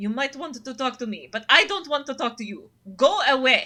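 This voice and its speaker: A woman puts on a character voice, high-pitched and fairly quick. Her speech carries a hissing sound. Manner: hissy, hostile, dismissive.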